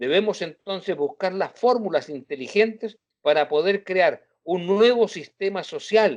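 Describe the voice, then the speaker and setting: Dry, close sound with no echo frames a man speaking at a fairly slow pace and a high pitch with ordinary pitch variation. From Chile. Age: 70s. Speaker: journalist. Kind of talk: interview.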